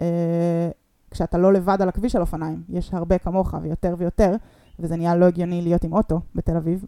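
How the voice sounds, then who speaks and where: In a very clean recording with a silent background, a woman speaks at a fairly quick pace in a fairly low, dark, mellow tone. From Israel, Rehovot and Ness Ziona. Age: 30s. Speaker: combat navigator and triathlete. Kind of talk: podcast interview. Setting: host's living room.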